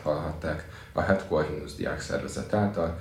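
Over noticeable background noise and audible room echo, a man with a very deep, low voice speaks at a moderate pace. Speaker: student podcast host. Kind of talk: interview.

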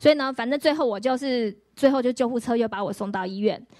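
A high-pitched woman's voice with ordinary pitch variation, in a very clean recording with a silent background. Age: 40s. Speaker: pastor. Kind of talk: testimony.

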